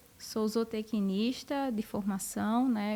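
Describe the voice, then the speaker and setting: The speaker has a northeastern Brazilian accent and fairly even intonation. The pace is very slow. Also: woman. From Brazil, northeast (Rio Grande do Norte). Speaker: university professor of animal science. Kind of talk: podcast interview.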